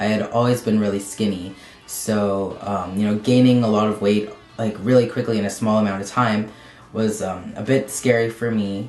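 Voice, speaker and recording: This man has a fairly low pitch and a monotone, flat intonation, moving at a moderate pace. Audible room echo and noticeable background noise surround his voice. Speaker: transgender video blogger. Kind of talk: personal vlog update. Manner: halting, many fillers.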